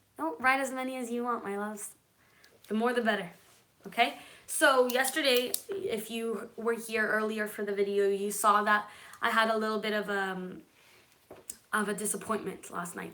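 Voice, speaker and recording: Speaking at a moderate pace with fairly even intonation, a woman's fairly high voice comes through audible room echo and noticeable background noise. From Israel and California. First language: Hebrew. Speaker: manifestation and law of attraction YouTuber. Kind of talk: live stream chat with viewers. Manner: casual, chatty.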